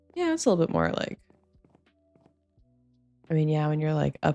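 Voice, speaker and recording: A woman in a relaxed tone, with music in the background. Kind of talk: quiet cozy gameplay commentary. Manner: soft-spoken, relaxed.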